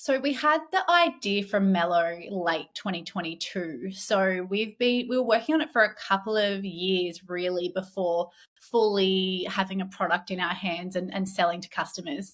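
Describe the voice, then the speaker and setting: With an Australian accent, a woman talks with ordinary pitch variation and hardly any pauses. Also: medium pitch for a woman, moderate pace. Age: 30s. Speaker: entrepreneur, company founder. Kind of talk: podcast interview.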